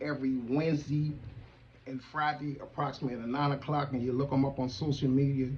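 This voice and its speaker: A man's fairly high-pitched, fairly quick delivery in a monotone, flat intonation. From US, East Baltimore, Maryland. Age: 60s. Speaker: TV show host, military veteran. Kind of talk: talk show monologue. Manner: loud.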